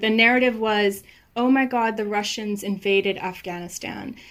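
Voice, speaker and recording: Here a woman uses a normal speaking voice at fairly high pitch. Her intonation is fairly even. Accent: American. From United States. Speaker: novelist. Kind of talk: interview.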